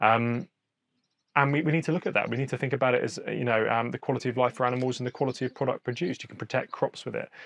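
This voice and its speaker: A man's very fast speech at medium pitch, with ordinary pitch variation. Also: dry, close sound with no echo. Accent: southern English. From Hampshire, southern England. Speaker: podcast host. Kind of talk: interview. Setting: outdoors.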